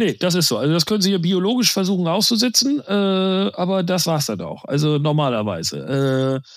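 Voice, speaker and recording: Very wide pitch swings with hardly any pauses. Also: man, high pitch for a man, moderate pace. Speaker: insurance sales executive. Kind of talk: interview. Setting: remote call.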